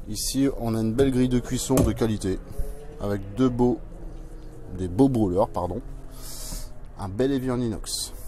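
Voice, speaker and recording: Faint music plays behind a man speaking at a fairly slow pace with long, frequent pauses. His pitch variation is ordinary and the sound is dry with no echo. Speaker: vehicle salesperson. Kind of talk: product walkaround commentary. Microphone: phone near.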